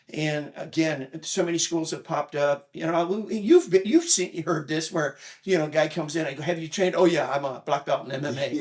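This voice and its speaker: This man has a fairly high voice and fairly even intonation, talking at a fairly quick pace with hardly any pauses. Noticeable background noise runs under the recording. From Japan. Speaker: martial arts instructor. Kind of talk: casual chat.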